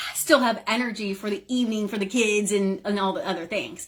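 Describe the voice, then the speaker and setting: At a moderate pace, a woman talks with a somewhat breathy voice at a fairly high pitch. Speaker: business coach. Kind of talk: live stream talk. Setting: live video in online group. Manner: animated.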